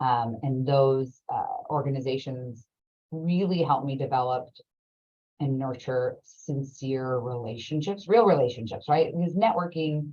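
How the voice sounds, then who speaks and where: In an American accent, the speaker goes at a fairly slow pace with ordinary pitch variation. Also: woman, very deep, low pitch for a woman. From Orange County, California. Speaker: lawyer. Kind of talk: interview.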